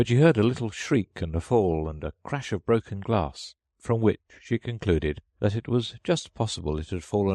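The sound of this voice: The intonation is lively in an unforced reading voice. Behind it the background is quiet.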